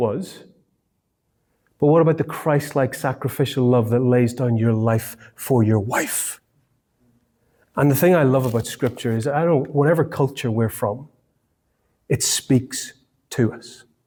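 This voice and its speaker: In an Irish accent, a man with a dark, mellow tone speaks at medium pitch and a fairly slow pace, with ordinary pitch variation and long, frequent pauses, on a very clean recording with a silent background. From Ireland. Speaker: marriage course teacher. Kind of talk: talk to a group. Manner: halting, many fillers and repeats.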